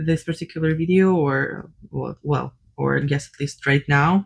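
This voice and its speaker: A woman talks with a non-native accent. Her voice is fairly low, and her intonation stays fairly even. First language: not English. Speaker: cross-stitch designer and vlogger. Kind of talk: casual unscripted vlog chat. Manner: hesitant, many fillers.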